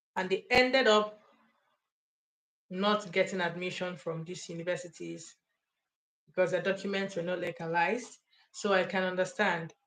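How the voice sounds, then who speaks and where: The pace is moderate. Pauses come long and often. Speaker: study abroad advisor. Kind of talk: live stream talk. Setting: live stream. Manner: loud.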